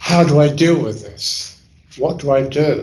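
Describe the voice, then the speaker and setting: In a London accent, a man talks at a fairly slow pace with a somewhat breathy, medium-pitched voice. Room echo is audible. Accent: London English (Cockney-leaning). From London, England. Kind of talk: talk to an audience.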